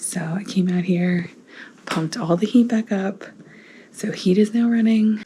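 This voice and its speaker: Whispering in an American accent, a woman speaks at a fairly slow pace with noticeable background noise. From northern US. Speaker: family vlogger. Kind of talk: casual vlog talk. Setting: at home.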